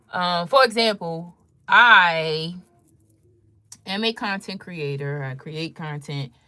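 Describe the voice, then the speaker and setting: A woman speaks at a very slow pace with a fairly low pitch and lively intonation, leaving long, frequent pauses. Her loudness swings widely in a very clean recording with a silent background. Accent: DC area. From Washington DC metropolitan area. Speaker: content creator, fashion and beauty livestreamer. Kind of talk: casual livestream chat. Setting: live stream at home.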